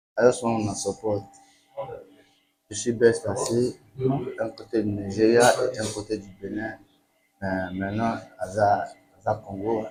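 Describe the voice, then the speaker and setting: The delivery is monotone and flat, with long, frequent pauses. It moves at a fairly slow pace with big swings in loudness. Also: man, fairly low pitch for a man. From Benin, Nigerian family. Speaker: musician. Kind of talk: interview. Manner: halting, repetitive phrasing.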